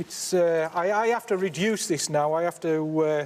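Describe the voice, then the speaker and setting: This man speaks with a Cumbrian accent. His pace is moderate. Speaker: slate miner. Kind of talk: casual chat. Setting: underground mine. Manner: animated.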